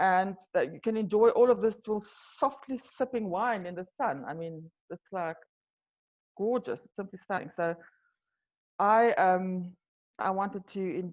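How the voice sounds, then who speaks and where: A woman speaks with a South African accent and lively intonation. She takes long, frequent pauses, and her loudness swings widely. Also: medium pitch for a woman, moderate pace. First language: Afrikaans. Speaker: wine tour business owner. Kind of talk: interview. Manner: halting.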